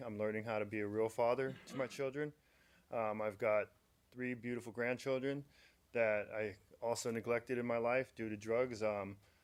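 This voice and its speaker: A man at medium pitch, monotone and flat in intonation, at a moderate pace. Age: 40s. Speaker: public commenter at county board meeting. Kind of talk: public comment testimony.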